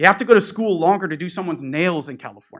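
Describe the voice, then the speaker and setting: A man speaks in a high, bright, sharp voice with lively intonation. The background is quiet. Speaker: public commenter at school board meeting. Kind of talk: public comment. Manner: loud.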